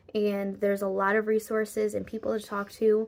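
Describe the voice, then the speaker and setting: A woman's ordinary speaking voice, medium in pitch, at a moderate pace on a very clean recording with a silent background. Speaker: vlogger. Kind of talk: personal vlog talk to camera. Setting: at home, raining outside.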